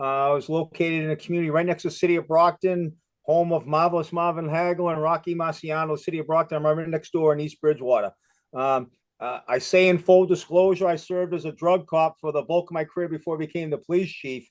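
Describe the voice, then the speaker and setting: A man's fairly high, monotone voice with a Boston accent, flat in intonation and very fast in pace. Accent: Boston accent, noticeable. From Massachusetts, Boston area. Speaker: retired police chief. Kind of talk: presentation on video call. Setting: video call. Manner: many fillers and repetitions.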